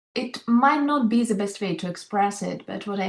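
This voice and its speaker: Somewhat breathy, a woman with a non-native accent speaks at a fairly slow pace. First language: not English. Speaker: leadership coach. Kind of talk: panel discussion.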